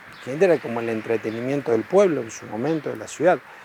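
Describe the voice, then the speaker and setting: Noticeable background noise runs throughout. The voice carries lively intonation. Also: man. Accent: Rioplatense. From Argentina, Laguna Paiva. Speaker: local resident. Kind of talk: interview testimony.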